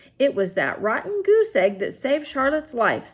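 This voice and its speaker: A woman puts on a character voice, high-pitched with very wide pitch swings. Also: moderate pace. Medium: read story.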